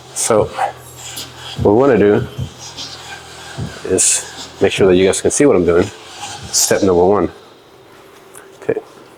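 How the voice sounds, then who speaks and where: Over noticeable background noise, a man mumbles with long, frequent pauses. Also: very even loudness. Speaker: fitness creator. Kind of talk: workout tutorial. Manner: fast; mumbling.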